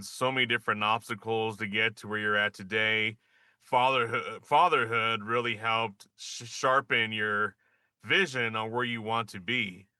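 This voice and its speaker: Here is a man with an ordinary speaking voice. He talks at a moderate pace and a medium pitch. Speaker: podcast host. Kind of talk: podcast interview questions.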